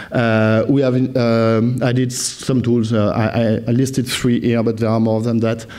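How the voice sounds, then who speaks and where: A man talks at a medium pitch, with monotone, flat intonation. Noticeable background noise and audible room echo surround him. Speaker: software product presenter. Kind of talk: conference presentation. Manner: fast; halting, many fillers.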